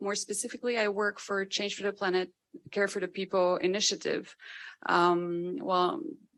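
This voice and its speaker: A woman's voice at medium pitch with a French accent, ordinary pitch variation and a moderate pace. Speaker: NGO campaign worker, panelist. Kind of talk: panel introduction.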